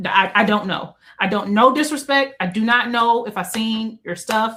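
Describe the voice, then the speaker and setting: A woman talks at a moderate pace with a fairly high pitch. Her pitch varies in an ordinary way. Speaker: book content creator. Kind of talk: casual chat. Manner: soft-spoken.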